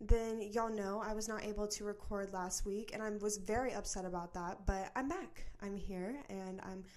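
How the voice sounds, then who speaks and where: A woman at a medium pitch talks in a room with audible echo. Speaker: podcast host. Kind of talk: casual chat. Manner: fast.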